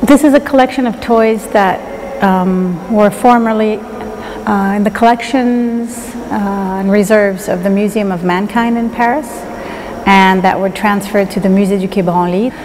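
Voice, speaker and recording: Light noise sits behind a woman who speaks at a moderate pace. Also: fairly even intonation. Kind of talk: interview answer. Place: hall.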